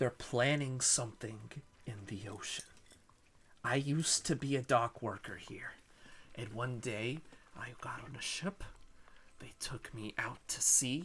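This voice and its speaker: This put-on character voice whispers at a fairly slow pace. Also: man. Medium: actual play. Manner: urgent, nervous.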